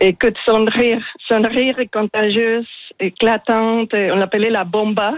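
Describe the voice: A woman's fairly high voice at a fairly slow pace, with little pitch movement and a dry, close sound with no echo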